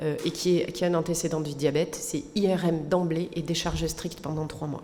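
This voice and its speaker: A woman speaks at a moderate pace in a fairly low voice with a flat, monotone delivery. Noticeable background noise and audible room echo surround her. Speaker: physician. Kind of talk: lecture.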